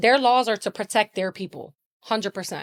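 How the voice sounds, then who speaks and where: A woman's fairly high voice at a moderate pace with fairly even intonation, dry and close with no echo, on a very clean recording with a silent background. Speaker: bereaved mother and road-safety advocate. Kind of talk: emotional interview testimony. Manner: loud; blunt, raw and emphatic.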